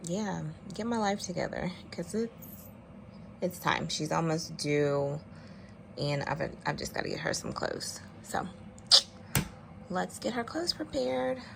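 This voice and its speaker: A woman speaks quietly in a somewhat breathy, fairly low voice at a fairly slow pace, with long, frequent pauses. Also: lively intonation. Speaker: vlogger, mother. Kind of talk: casual vlog chat. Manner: quiet, talking low.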